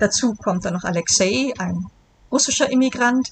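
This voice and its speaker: Over noticeable background noise, a woman with a fairly high pitch and lively intonation speaks at a fairly slow pace. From Germany, Bonn (Rhineland). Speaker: novelist. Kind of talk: interview.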